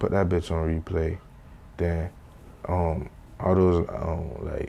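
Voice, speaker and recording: A man with a Haitian accent has a very deep, low pitch. He speaks at a very slow pace with monotone, flat intonation. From Haiti, moved to South Florida at about seven. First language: Haitian Creole. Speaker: rapper and studio engineer. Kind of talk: casual interview. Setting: sit-down interview. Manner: casual slangy delivery.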